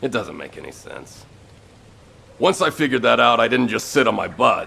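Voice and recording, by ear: A man puts on a character voice with a bright, sharp tone, medium pitch and vocal fry. He moves at a moderate pace with big pitch swings.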